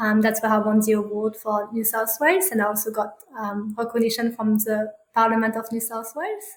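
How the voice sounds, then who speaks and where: With a French accent, the speaker moves at a fairly quick pace and keeps the intonation fairly even. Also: woman, fairly high pitch for a woman. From France. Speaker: parenting coach. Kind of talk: interview. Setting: podcast recording. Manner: halting, many fillers.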